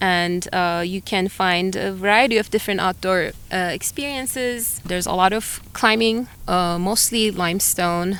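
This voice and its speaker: A woman speaks with a Turkish accent. Her pitch varies in an ordinary way. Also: medium pitch for a woman, fairly slow pace, hardly any pauses. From Turkey, Antalya. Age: 40s. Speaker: biologist and climber. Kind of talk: interview conversation. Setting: outdoors on a hilltop. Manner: hesitant, many fillers.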